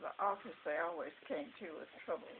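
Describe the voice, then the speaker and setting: Noticeable background noise fills the recording. Over it, a woman talks at a moderate pace. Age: 80s+. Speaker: retired school secretary. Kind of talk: storytelling interview answer.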